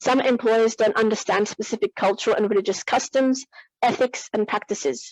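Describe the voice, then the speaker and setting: A woman's fairly high voice with ordinary pitch variation, dry and close with no echo. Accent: Australian. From Australia (Perth, Western Australia), moved from New Zealand at six. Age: 20s. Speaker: youth speaker, museum programs coordinator. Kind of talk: prepared conference speech.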